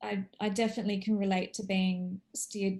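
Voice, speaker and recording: A woman's medium-pitched, somewhat breathy voice, dark and mellow in tone, monotone and flat in intonation, at a moderate pace. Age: 40s. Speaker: course participant, former news journalist. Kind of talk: casual chat. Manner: halting.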